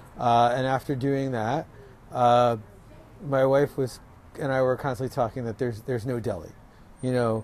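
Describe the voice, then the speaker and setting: With an American accent, a man talks at a moderate pace in a medium pitch, his intonation fairly even and broken by long, frequent pauses. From New York, Rockland County. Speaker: restaurant owner. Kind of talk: interview. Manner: casual, with many fillers.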